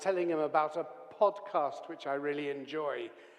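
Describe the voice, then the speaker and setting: A man with a fairly high pitch speaks at a moderate pace as noticeable background noise continues. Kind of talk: conversational podcast.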